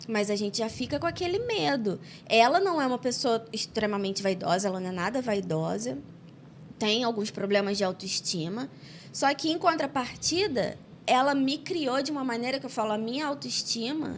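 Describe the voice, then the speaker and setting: A woman at a fairly high pitch and moderate pace, with very wide pitch swings. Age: 30s. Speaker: podcast host. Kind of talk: casual interview chat.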